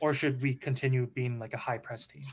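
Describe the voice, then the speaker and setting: A man rattles along at a very fast pace, his pitch medium. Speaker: caller. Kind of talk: casual call-in chat. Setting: voice call with quiet microphone.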